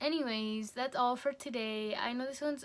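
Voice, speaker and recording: Her voice sits high, and the woman keeps her intonation fairly even. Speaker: vlogger and nursing assistant student. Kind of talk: video diary. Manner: rambling, jumps between topics; casual, many fillers.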